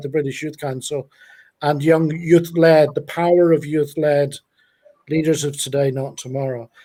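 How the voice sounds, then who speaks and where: A man speaks with a Northern Irish accent. His tone is dark and mellow, and his pace is fairly quick. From Northern Ireland, Belfast. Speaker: youth charity founder. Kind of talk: live stream interview. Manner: halting.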